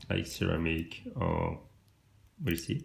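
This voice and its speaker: A man with a French accent speaks at a very slow pace. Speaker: watch reviewer. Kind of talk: product review. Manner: halting.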